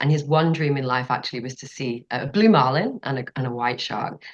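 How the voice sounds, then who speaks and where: A British accent at a fairly quick pace, with ordinary pitch variation. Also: woman. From northern England. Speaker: marine scientist. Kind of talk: interview conversation.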